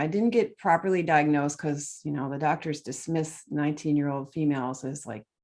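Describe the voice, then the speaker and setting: A woman with a Midwestern US accent speaks in a very deep, low voice over a quiet background. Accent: General American, Midwestern. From Michigan, US Midwest. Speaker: nutrition author and oxalate expert. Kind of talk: interview.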